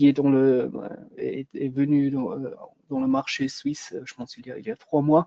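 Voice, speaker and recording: A man with a dark, mellow tone and a fairly high pitch speaks at a fairly slow pace with ordinary pitch variation, the sound dry and close with no echo. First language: German (speaking French). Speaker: product manager for a solar company. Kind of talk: webinar product presentation. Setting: online webinar. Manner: halting, many hesitations.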